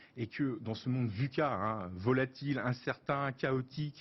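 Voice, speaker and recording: This man speaks at a medium pitch with a somewhat breathy quality. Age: 50s. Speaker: business executive and start-up partner. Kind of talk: TV interview.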